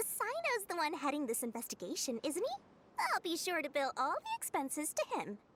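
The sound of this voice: A woman speaks at a moderate pace in a put-on character voice, high-pitched and fairly bright, with very wide pitch swings.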